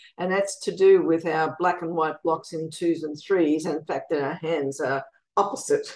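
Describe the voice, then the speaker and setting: Speaking with an Australian accent, a woman keeps a fairly low pitch, fairly even intonation and a moderate pace over a quiet background. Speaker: music educator and composer; guest. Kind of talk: interview. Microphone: video call.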